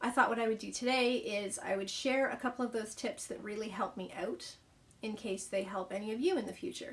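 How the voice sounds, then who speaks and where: Her pitch is fairly high for a woman, with ordinary variation. She speaks at a moderate pace. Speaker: author and vlogger. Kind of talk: casual vlog talk. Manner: hesitant, says um a lot.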